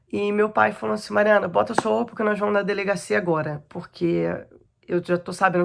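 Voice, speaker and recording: A woman talks at a very fast pace. Her pitch sits at a medium level. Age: 30s. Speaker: abuse survivor giving testimony. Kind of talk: testimony.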